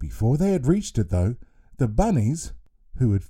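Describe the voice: The voice is a plain reading aloud.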